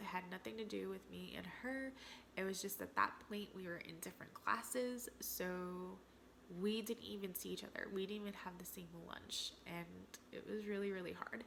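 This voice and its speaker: A woman with an American accent has an unremarkable speaking voice at a medium pitch. She keeps a moderate pace and fairly even intonation. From New Jersey, US. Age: 30s. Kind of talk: casual Q&A vlog.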